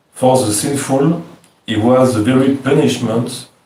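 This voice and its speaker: Audible room echo surrounds a man who speaks with a French accent. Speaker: devotee reading verses. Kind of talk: reading aloud.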